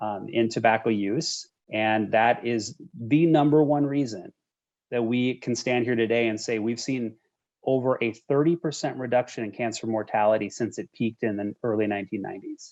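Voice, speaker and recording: A man with an American accent, a normal speaking voice, medium pitch, ordinary pitch variation and a moderate pace. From Minnesota. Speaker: cancer charity executive. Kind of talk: interview conversation.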